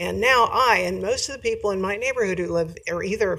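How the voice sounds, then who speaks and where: A woman talks fairly quickly while noticeable background noise runs underneath. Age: 70s. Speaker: public commenter at county meeting. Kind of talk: public comment. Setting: county commission meeting.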